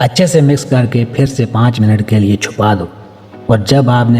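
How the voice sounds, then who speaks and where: There is music in the background. A man speaks with ordinary pitch variation. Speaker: cooking channel host. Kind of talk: comic cooking voice-over. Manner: playful, joking.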